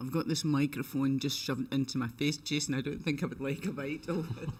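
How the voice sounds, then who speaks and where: Speaking at a fairly quick pace with a Scottish accent, the voice keeps a fairly even intonation. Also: man, fairly high pitch for a man. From Scotland. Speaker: lawn bowls commentator. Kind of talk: live commentary.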